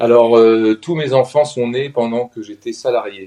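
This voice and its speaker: This man's voice is dark and mellow, and his delivery comes at a very slow pace. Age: 50s. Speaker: professional coach, former consultant. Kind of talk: interview testimony. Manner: halting, many hesitations.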